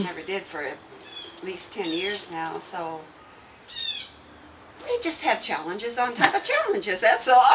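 Over noticeable background noise, a woman talks at a moderate pace with long, frequent pauses. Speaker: nun and triathlete. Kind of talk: interview answer. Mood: light, self-deprecating humor. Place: home room. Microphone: phone near.

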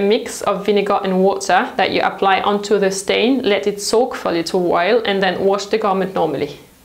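In a room with audible echo, a woman speaks at a moderate pace and a medium pitch.

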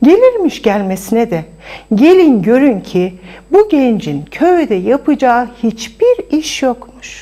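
A woman with a dark, mellow tone and fairly high pitch, big pitch swings, few pauses and a fairly slow pace

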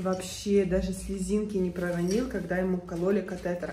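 A woman speaks quietly at a medium pitch with monotone, flat intonation, with audible room echo and light background noise. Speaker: family vlogger. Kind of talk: casual vlog talk. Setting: hospital room. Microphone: phone near.

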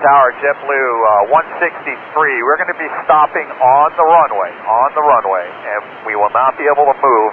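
At a moderate pace and with ordinary pitch variation, the voice comes through noticeable background noise. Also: man. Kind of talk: radio communication. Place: plane. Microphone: two way radio.

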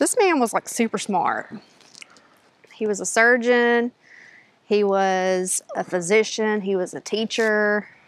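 At a very slow pace, a woman talks with fairly even intonation in a dry sound that has no echo. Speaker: travel vlogger. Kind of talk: casual vlog chat. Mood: cheerful, informative. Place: open country. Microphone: phone near.

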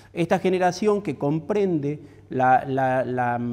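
A man's dark, mellow tone carries lively intonation. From Argentina. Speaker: architecture critic and professor. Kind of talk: lecture. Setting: stage with audience. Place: hall. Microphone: lapel.

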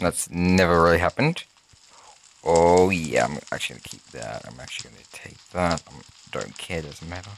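A very deep, low-pitched man speaks with lively intonation. Background noise is noticeable. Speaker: gaming YouTuber. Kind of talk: gameplay commentary. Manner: fast; animated.

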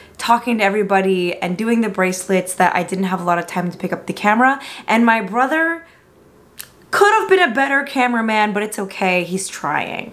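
Her delivery moves at a moderate pace, and the woman's intonation is lively. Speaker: food vlogger. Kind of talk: casual vlog chat. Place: home room. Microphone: camera far.

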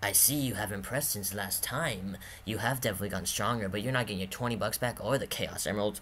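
Clear background noise sits behind a man who talks at a very fast pace in a fairly low voice. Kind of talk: amateur home-movie voice acting. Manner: smug, taunting.

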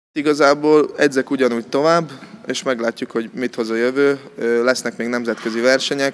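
A man's fairly even intonation and moderate pace come across over light background noise. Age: 20s. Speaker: judo athlete. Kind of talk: interview. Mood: calm, modest, slightly shy. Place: gym. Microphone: handheld.

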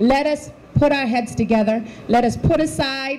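A woman with a high pitch talks with ordinary pitch variation over light background noise. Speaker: politician giving remarks. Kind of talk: campaign speech. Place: hall. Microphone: handheld.

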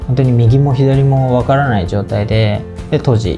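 A man talks at a moderate pace with ordinary pitch variation while clear music plays in the background. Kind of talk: interview answer. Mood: calm, polite, earnest. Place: office.

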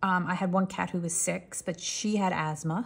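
In a New York accent, a woman speaks at a moderate pace in a relaxed, somewhat breathy tone with fairly low pitch and fairly even intonation, on a very clean recording with a silent background. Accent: New York area American. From New York tri-state area, US. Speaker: coloring channel creator. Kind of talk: casual chat while coloring, storytelling. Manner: relaxed, chatty, long-winded.

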